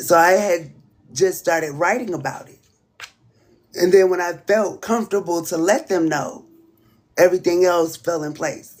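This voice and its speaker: Speaking at a moderate pace with an American accent, this voice has ordinary pitch variation, big swings in loudness, and long, frequent pauses. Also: woman, fairly low pitch for a woman. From Southern US (Alabama/Florida). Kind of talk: casual livestream talk.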